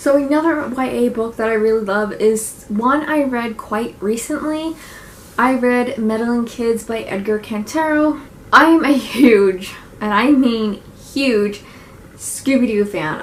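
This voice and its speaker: A woman with a fairly high pitch and ordinary pitch variation talks while noticeable background noise continues. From Nova Scotia, Canada. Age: 20s. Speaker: book reviewer. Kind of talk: casual talk to camera, book review.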